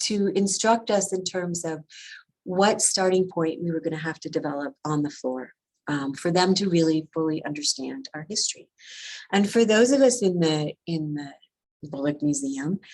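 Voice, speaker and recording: A woman with an American accent speaks at a moderate pace, her fairly low voice carrying lively intonation. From US Midwest, Wisconsin. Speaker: museum professional. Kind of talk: presentation. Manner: many fillers and hesitations.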